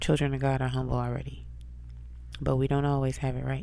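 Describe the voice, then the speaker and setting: In a room with audible echo, a woman speaks with a very deep, low pitch and a dark, mellow tone. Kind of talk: spiritual encouragement monologue. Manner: casual conversational. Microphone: close to microphone, whispering.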